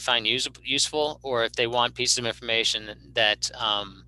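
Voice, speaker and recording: The tone is bright and sharp, with fairly even intonation. The sound is dry and close with no echo, and the background is quiet. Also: man. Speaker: emergency management director. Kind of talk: presentation. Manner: fast; halting.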